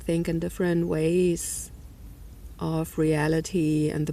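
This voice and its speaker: Against audible room echo, a woman speaks with a non-native accent. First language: not English. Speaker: energy healer and spiritual vlogger. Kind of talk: personal video diary monologue. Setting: outdoors. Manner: halting, many fillers.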